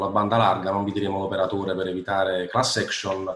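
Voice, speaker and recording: A man's fairly low voice at a fairly quick pace, with audible room echo. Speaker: interview host. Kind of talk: podcast interview introduction. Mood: joking, light. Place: home room. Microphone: video call.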